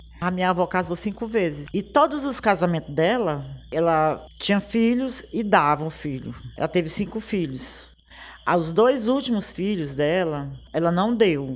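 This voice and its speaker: A woman speaks with lively intonation at a fairly slow pace, her pitch fairly low. She has an ordinary speaking voice against a quiet background. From Piauí, Brazil (Teresina). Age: 60s. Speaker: samba singer. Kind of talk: personal life story.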